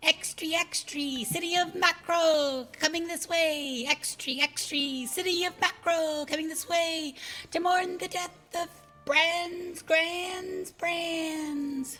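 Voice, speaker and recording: A put-on character voice, squeaky and extremely high in pitch, speaks at a very slow pace. Faint music plays in the background. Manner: calling out headlines.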